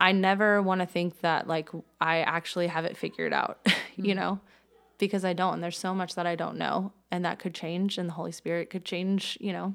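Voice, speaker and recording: A woman's fairly low-pitched voice with monotone, flat intonation and an American accent. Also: fairly quick pace, very clean recording, silent background. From Tallahassee, Florida. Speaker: church member sharing her story. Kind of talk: casual chat, personal interview.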